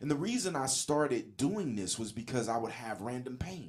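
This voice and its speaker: A man's ordinary speaking voice, medium pitch, lively intonation and moderate pace. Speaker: motivational podcast host. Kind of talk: solo podcast monologue. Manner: casual, conversational.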